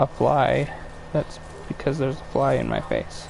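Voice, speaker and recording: Noticeable background noise fills the recording. A man talks fairly slowly over it. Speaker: game streamer. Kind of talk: live gameplay stream chat. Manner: casual, hesitant with fillers.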